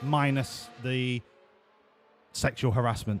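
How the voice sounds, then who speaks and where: A man with a British accent, amid noticeable background noise. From UK. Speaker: video game streamer. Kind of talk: live stream commentary. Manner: casual, chatty.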